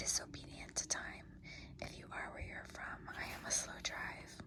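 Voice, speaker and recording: Noticeable background noise runs through the clip. A woman whispers at a fairly slow pace. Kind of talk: poetry reading. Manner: whispered, soft-spoken.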